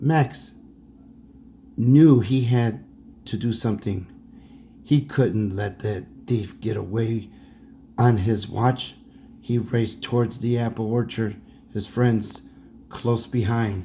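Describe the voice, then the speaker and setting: In a put-on character voice, a man speaks raspily at a medium pitch and a fairly slow pace, leaving long, frequent pauses. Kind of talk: bedtime story. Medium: read story. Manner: casual, self-correcting.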